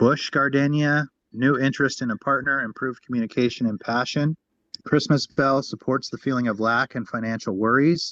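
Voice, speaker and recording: With an American accent, a man in an ordinary speaking voice talks at a fairly quick pace and medium pitch with fairly even intonation, the sound dry and close with no echo against a quiet background. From Wyoming, US. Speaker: energy healing practitioner. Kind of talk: reading aloud.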